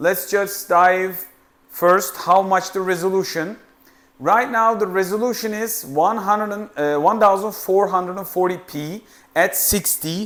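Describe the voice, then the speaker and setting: With a non-native accent, a high-pitched man speaks at a fairly slow pace with fairly even intonation. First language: not English. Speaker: tech reviewer. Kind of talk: product review tutorial. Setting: studio. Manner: halting.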